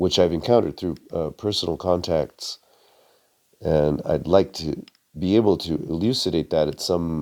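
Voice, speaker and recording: A man with a very deep, low voice and vocal fry talks at a fairly slow pace with ordinary pitch variation. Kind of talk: article reading with commentary. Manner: hesitant, many fillers.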